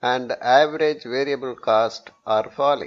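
Speaking slowly, a man uses medium pitch and ordinary pitch variation.

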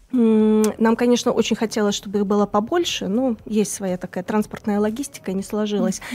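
A woman speaks with a dark, mellow tone and ordinary pitch variation. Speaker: cultural centre manager. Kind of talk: live studio interview. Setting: studio. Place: studio. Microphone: studio mic.

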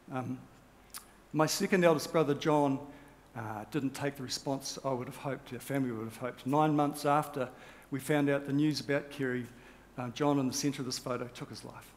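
At a fairly quick pace, a man with a fairly high pitch keeps his intonation fairly even while his loudness swings widely. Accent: New Zealand. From New Zealand. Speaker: rowing champion and motivational speaker; motivational speaker. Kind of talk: keynote speech. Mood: sombre, reflective. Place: stage. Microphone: headset.

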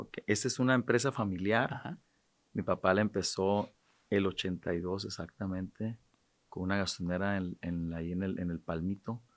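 Against a quiet background, a man speaks at a moderate pace. His pitch is fairly low, with ordinary variation. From Sinaloa, Mexico. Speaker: businessman and charity president; podcast guest. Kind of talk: casual interview chat. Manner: halting, repetitive. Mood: calm, reflective. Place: studio. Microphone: studio mic.

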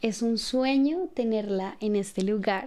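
A woman speaks at a fairly slow pace, her fairly high voice carrying a dark, mellow tone. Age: 20s. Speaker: podcast host. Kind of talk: casual chat. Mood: warm, reflective. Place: studio. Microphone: studio mic.

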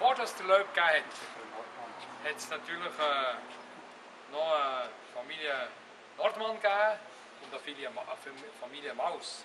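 This man's high-pitched voice carries lively intonation and big swings in loudness, with long, frequent pauses at a fairly slow pace. Noticeable background noise sits behind him. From Switzerland. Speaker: former mayor giving a city tour. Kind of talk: guided tour talk. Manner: hesitant, many fillers. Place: street. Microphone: camera far.

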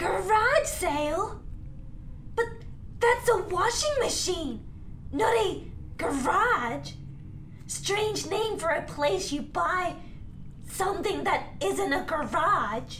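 In a cartoonish character voice, the speaker goes at a very slow pace with long, frequent pauses over clear background noise. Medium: puppet. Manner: dramatic, grandiose.

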